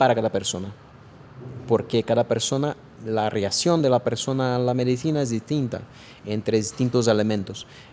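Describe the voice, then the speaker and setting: A man speaks in a Brazilian accent at a moderate pace and a medium pitch. His tone is dark and mellow, with ordinary pitch variation. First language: Portuguese (speaking Spanish). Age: 40s. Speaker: artificial intelligence expert. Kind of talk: interview. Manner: halting, many fillers and repetitions.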